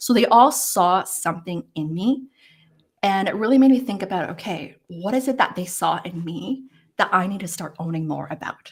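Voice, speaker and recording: Her somewhat breathy voice has lively intonation and big swings in loudness. This woman keeps a moderate pace. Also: medium pitch for a woman. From Hong Kong. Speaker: career coach. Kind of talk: interview. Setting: live stream. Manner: hesitant.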